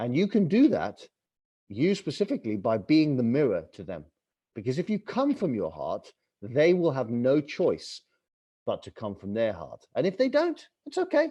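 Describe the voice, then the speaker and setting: Talking at a moderate pace with an English accent, a man sounds animated, his loudness swinging widely against a quiet background. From England. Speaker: author and travel TV host. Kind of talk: podcast interview.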